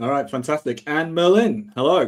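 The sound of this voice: A man at a moderate pace, fairly high in pitch, with lively intonation.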